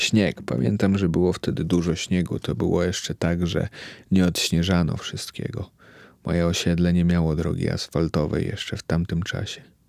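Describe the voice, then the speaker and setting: This man's voice is very deep and low, his intonation fairly even and his pace moderate. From Poland, Białystok. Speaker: podcaster. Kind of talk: personal monologue. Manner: reflective.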